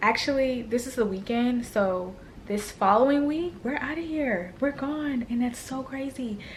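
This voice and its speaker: A woman whispering at a moderate pace, noticeable background noise behind her. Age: 20s. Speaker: lifestyle vlogger. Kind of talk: casual vlog talk. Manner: casual.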